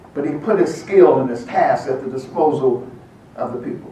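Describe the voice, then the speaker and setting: Amid noticeable background noise and audible room echo, a man speaks at a fairly quick pace in a fairly high pitch. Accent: American. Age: 80s+. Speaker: veteran activist and speaker. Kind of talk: speech. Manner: impassioned.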